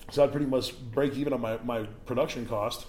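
Speaking with a Chicago accent, a man keeps a medium pitch, a moderate pace and fairly even intonation. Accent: Chicago American. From Chicago, US Midwest. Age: 40s. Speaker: house music DJ and producer. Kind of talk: casual chat.

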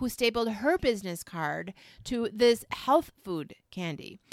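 Loud and lively in intonation, the voice has a bright, sharp tone. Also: woman. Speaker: podcast co-host. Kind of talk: casual chat. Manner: loud, excitable.

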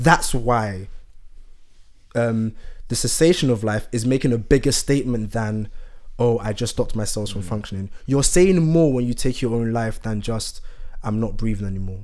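Here a man uses an ordinary speaking voice. He keeps a moderate pace with ordinary pitch variation. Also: medium pitch for a man. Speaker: podcast co-host. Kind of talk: casual chat.

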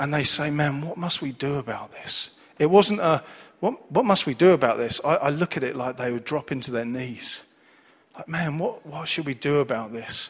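A man speaks in a Manchester accent at a fairly high pitch. His pace is moderate and his pitch variation ordinary. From Manchester, England. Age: 40s. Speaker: preacher. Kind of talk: sermon. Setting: church service with congregation.

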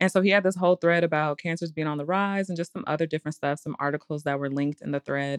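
A woman's very deep, low voice at a very fast pace with hardly any pauses and fairly even intonation, dry and close with no echo over a quiet background. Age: 30s. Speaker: podcast co-host. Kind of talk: casual chat.

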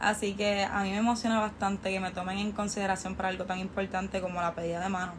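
Words come at a very fast pace in a monotone, flat delivery. Noticeable background noise sits behind the voice. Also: woman, medium pitch for a woman, hardly any pauses. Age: 20s. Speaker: university student and small business owner. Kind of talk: interview.

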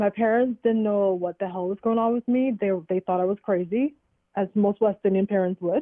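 A woman with an unremarkable speaking voice talks at a moderate pace and medium pitch, keeping her intonation fairly even. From Trinidad, moved to US at 14-15. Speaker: educator and entrepreneur. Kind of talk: casual interview.

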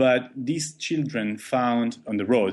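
A man with an Italian accent speaks at a medium pitch with ordinary pitch variation. His pace is fairly slow, and the background is quiet. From Italy. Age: 30s. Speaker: documentary photographer. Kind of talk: interview storytelling.

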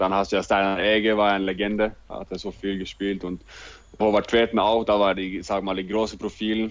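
A man with a Norwegian accent at a moderate pace over a quiet background. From Norway, Oslo. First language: Norwegian (speaking German). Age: 20s. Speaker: handball player. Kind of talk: interview. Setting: video call.

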